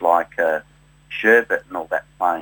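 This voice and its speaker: A man with a slight South Australian accent talks at a moderate pace in a bright, sharp tone, the sound dry and close with no echo. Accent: slight South Australian twang. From South Australia, Adelaide. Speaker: tribute musician. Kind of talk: interview. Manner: halting, many fillers.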